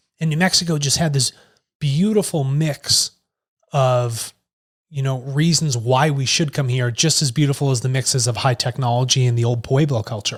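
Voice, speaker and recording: With an American accent, a man speaks at a moderate pace in a medium-pitched, somewhat breathy voice. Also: ordinary pitch variation. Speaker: tech company executive. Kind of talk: casual conversation.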